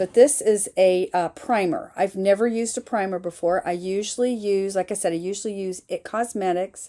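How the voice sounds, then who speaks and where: In a very clean recording with a silent background, a woman with a dark, mellow tone speaks at a medium pitch and moderate pace, with ordinary pitch variation and hardly any pauses. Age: 60s. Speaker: lifestyle YouTuber. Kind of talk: casual unboxing vlog. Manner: casual, hesitant with fillers.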